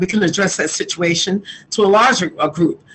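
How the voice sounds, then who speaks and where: A woman talks fairly quickly with a New York accent. Her pitch sits in the medium range, and her intonation stays fairly even. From New York City (Queens). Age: 60s. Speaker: community activist. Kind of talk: interview.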